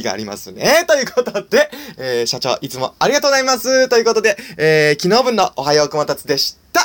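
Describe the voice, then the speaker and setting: His tone is cheerful. The man's pitch swings very widely. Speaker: solo podcaster and comedian. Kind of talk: casual solo monologue. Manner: halting, many fillers; cheerful, laughing.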